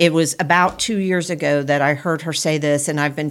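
At a moderate pace, a woman speaks with a very deep, low pitch and ordinary pitch variation on a very clean recording with a silent background. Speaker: podcast host. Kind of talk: casual conversational podcast chat.

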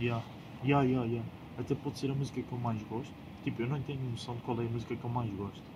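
Against noticeable background noise, the speaker talks at a very fast pace in a monotone, flat intonation. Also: man, medium pitch for a man. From Portugal, Lisbon. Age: 20s. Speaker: podcast co-host. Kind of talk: casual chat.

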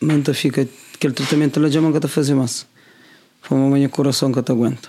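Delivery is monotone and flat in intonation, at a very fast pace. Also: man. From Cape Verde, Praia on Santiago. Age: 30s. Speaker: guest sharing his illness survival story. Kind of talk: personal testimony in interview.

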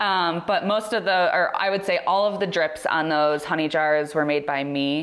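With an unremarkable speaking voice, a woman talks at a moderate pace in a fairly low pitch, using ordinary pitch variation, very even loudness and hardly any pauses. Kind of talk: casual chat.

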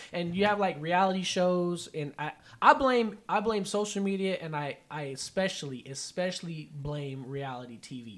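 On a very clean recording with a silent background, a man with a high pitch for a man talks at a moderate pace with lively intonation and hardly any pauses. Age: 30s. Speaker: podcast host. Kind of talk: casual chat.

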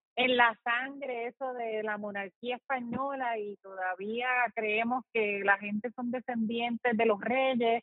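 A woman's fairly high voice, monotone and flat, at a very slow pace with hardly any pauses. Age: old. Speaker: podcast host. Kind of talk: casual interview.

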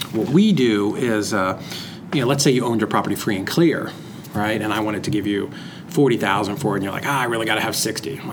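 A man speaks very fast with an American accent, his pitch fairly low and his pitch variation ordinary. Room echo is audible, and there is noticeable background noise. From Massachusetts, near Lowell. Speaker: real estate investor. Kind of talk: interview. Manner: casual, hesitant with fillers.

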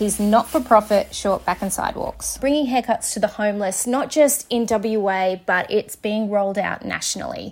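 With an Australian accent, a woman talks at a moderate pace in a fairly high pitch with ordinary pitch variation. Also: hardly any pauses. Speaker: podcast host. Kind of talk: podcast interview.

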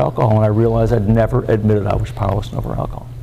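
Noticeable background noise fills the clip. A man talks at a very fast pace. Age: 70s. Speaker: recovering alcoholic speaker. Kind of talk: recovery meeting talk. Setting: meeting with audience. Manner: halting.

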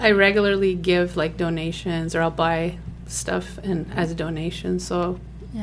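A woman's voice with an American accent, amid audible room echo and noticeable background noise. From Afghanistan (Kabul), later Germany and US. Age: 40s. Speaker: refugee, former scientist, mother. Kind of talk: interview.

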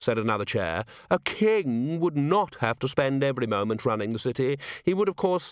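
Someone reads aloud in a plain way. The pitch rises and falls with plenty of life.

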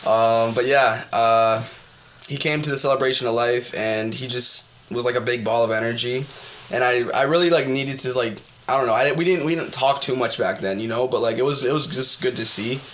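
At a fairly quick pace, a man talks in a medium pitch with ordinary pitch variation. The recording carries audible room echo and noticeable background noise. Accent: Canadian. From southern Ontario, Canada. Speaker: musician and clothing designer. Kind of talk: casual interview chat. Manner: animated.

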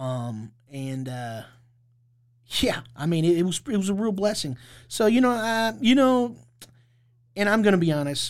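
On a very clean recording with a silent background, a man with an American accent speaks high-pitched at a fairly slow pace, his pitch swinging very widely between long, frequent pauses. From Indianapolis, Indiana. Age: 30s. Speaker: formerly homeless advocate. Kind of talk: interview.

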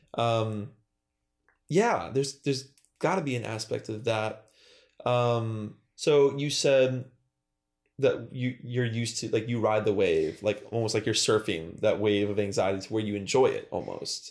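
An American accent marks this man's unremarkable speaking voice, with a medium pitch, fairly slow pace and ordinary pitch variation on a very clean recording with a silent background. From Western New York (Buffalo area). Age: 20s. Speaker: professional musician. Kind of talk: casual chat.

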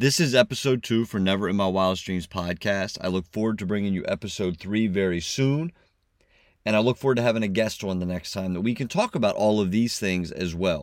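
In a very clean recording with a silent background, a man with a normal speaking voice talks at a moderate pace, his pitch fairly low with ordinary variation. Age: 40s. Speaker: podcast host. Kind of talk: motivational monologue.

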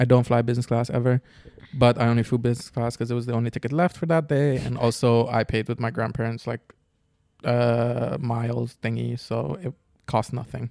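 Dark and mellow in tone, a man's medium-pitched voice moves at a fairly quick pace with fairly even intonation. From Curacao. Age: 20s. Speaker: podcast co-host. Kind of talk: casual chat.

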